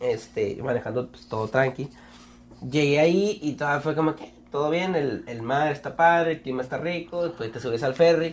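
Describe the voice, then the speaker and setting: Here is an ordinary speaking voice at a moderate pace. Its pitch varies in an ordinary way. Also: man, fairly high pitch for a man, big swings in loudness. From Mexico. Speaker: podcast host. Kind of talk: casual chat. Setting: studio.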